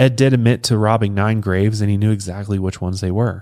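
Fairly quick speech in a Colorado accent, with ordinary pitch variation, on a very clean recording with a silent background. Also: man. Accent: Colorado country. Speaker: true crime podcast host. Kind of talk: casual true crime storytelling. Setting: studio.

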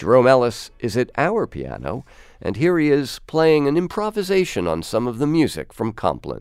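A man at a moderate pace and medium pitch, with very wide pitch swings, in a very clean recording with a silent background. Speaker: radio host. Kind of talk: radio interview. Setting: studio.

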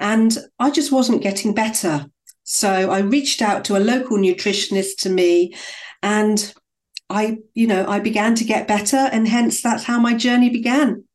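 This is an ordinary speaking voice, delivered at a moderate pace with ordinary pitch variation. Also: woman, fairly high pitch for a woman. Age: 50s. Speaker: functional nutritionist. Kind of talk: interview.

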